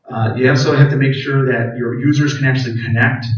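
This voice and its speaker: Fairly quick, fairly evenly intoned speech from a man at medium pitch, with audible room echo. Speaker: IT staff presenter. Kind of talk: conference presentation with live demo. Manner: fast.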